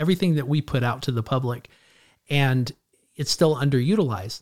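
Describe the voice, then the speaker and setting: A man with an American accent has an unremarkable speaking voice with ordinary pitch variation at a moderate pace. The recording is very clean, with a silent background. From California, Clovis near Fresno. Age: 40s. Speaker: addiction counselor and trainer. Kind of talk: interview conversation.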